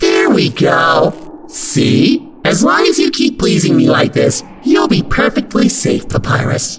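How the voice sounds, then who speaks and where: Raspy and extremely high-pitched, a man speaks at a fairly slow pace. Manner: condescending, sugary menace.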